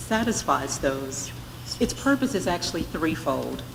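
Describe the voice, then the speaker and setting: A woman's fairly low-pitched voice amid noticeable background noise. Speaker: state education department director presenting to board. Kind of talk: formal presentation at board meeting. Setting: board meeting workshop, live streamed. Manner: loud; formal.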